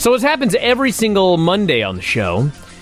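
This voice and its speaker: With music playing in the background, a man speaks at a moderate pace with lively intonation. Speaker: radio show host. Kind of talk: sports talk radio show. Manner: casual, conversational.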